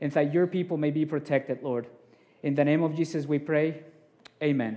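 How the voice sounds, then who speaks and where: His tone is dark and mellow, and this man speaks with fairly even intonation. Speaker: preacher. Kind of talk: sermon. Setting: church. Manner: humble, sincere, somewhat halting with repeated words.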